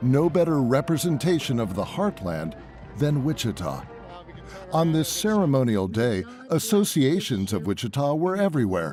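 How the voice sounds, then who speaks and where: Music plays in the background as a man speaks at a moderate pace. His pitch sits at a medium level but swings very widely. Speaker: news reporter. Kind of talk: TV news report narration.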